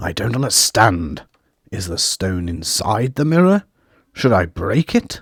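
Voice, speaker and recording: In a raspy, put-on character voice, a man speaks at a medium pitch and fairly slow pace, his pitch swinging very widely. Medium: read story.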